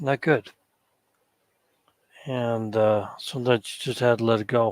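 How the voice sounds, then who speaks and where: This man's voice sits at a medium pitch with fairly even intonation and a fairly slow pace. The sound is dry and close with no echo. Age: 50s. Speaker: panel guest. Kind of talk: casual chat.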